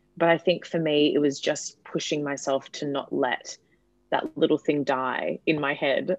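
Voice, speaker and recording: A woman with an Australian accent and a very deep, low pitch, in a dry, close sound with no echo. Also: quiet background. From Perth, Western Australia. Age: 20s. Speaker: comedian. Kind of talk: casual chat.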